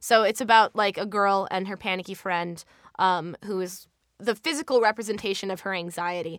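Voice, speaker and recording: A woman with an American accent speaks at a moderate pace and a medium pitch. She has an unremarkable speaking voice with ordinary pitch variation. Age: young. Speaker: voiceover actor and artist. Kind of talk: casual interview.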